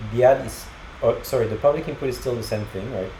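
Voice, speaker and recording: The man's voice shows ordinary pitch variation amid noticeable background noise and audible room echo. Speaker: programming tutorial creator. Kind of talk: screencast coding tutorial. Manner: halting, many fillers.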